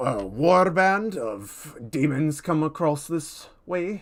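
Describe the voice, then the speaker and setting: In a very clean recording with a silent background, a man uses a put-on character voice and speaks at a very slow pace. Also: fairly high pitch for a man. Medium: actual play. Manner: blunt, plain-spoken.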